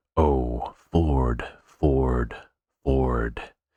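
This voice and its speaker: The speaker whispers in a put-on character voice. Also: man. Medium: read story. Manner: very slow, dramatic shifts from trumpeting to whisper.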